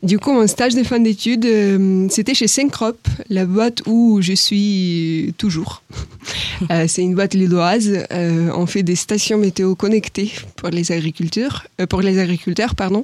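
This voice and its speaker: Noticeable background noise runs under a woman's voice. She speaks at a fairly slow pace with very even loudness. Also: medium pitch for a woman, ordinary pitch variation. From Ukraine. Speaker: agri-business professional, alumna. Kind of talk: interview. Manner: hesitant, many fillers.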